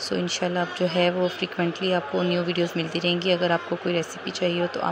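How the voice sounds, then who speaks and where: A soft-spoken woman talks in a fairly low pitch with a monotone, flat intonation. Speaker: cooking channel host. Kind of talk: cooking tutorial. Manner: hesitant with fillers.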